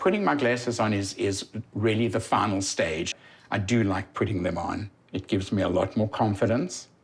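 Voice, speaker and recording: A somewhat breathy man with a South African accent, his pitch fairly low, his pace moderate. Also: ordinary pitch variation. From South Africa, Johannesburg. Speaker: patient. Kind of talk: testimony.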